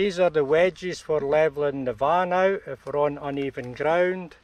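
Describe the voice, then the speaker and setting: A man in a Scottish accent talks at a very slow pace. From Scotland. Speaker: campervan travel vlogger. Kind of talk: tutorial.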